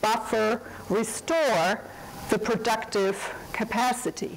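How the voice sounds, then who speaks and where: A woman speaks with a German accent in a room with audible echo and noticeable background noise. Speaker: economics professor and academic administrator. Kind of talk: lecture. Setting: seminar room with audience. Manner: formal.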